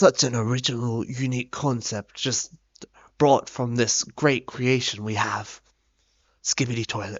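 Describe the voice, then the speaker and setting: A man speaks with an Australian accent over music in the background. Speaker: gaming youtuber. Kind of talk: video essay narration.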